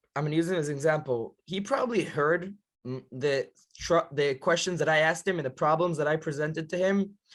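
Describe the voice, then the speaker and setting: In an Israeli accent, the speaker moves at a fairly quick pace with lively intonation on a very clean recording with a silent background. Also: man. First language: Hebrew. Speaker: yeshiva counselor. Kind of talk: podcast interview.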